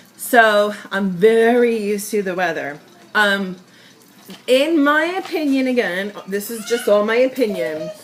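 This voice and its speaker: A woman speaks at a fairly high pitch with a slight New York accent, and noticeable background noise runs behind her. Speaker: sales representative. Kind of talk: casual tutorial vlog. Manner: chatty, filler-heavy.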